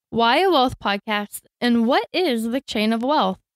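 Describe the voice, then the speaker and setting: In an American accent, a woman speaks with an unremarkable speaking voice at a fairly high pitch and ordinary pitch variation. The recording is very clean, with a silent background and a dry, close sound with no echo. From Florida, US. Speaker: podcast co-host, trained teacher. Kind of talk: scripted podcast introduction.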